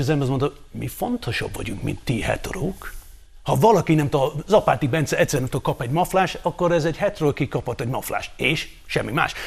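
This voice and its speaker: A man talks at a very fast pace with lively intonation and a fairly high pitch, over noticeable background noise. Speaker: panelist. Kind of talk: casual banter on a TV talk show.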